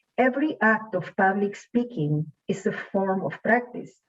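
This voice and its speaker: A somewhat breathy woman's voice at a medium pitch, very slow, with very wide pitch swings. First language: not English. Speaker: student speaker. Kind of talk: prepared speech. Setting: online showcase event.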